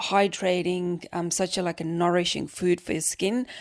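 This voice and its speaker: A woman's fairly low, monotone, flat voice with an Estonian accent, in a very clean recording with a silent background. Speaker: podcast host. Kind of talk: casual monologue, beauty tips.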